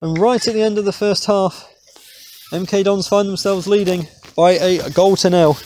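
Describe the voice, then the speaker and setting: A man with a high voice speaks at a moderate pace. The sound is dry with no echo, over light background noise. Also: fairly even intonation. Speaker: match commentator. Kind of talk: live sports commentary. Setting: stadium match commentary.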